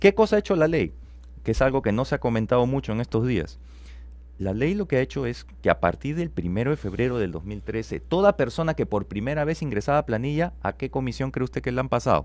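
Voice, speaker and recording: Very fast pace over a quiet background. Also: man. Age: 40s. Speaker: economist, business school dean. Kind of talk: radio interview. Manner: explanatory, rhetorical questions.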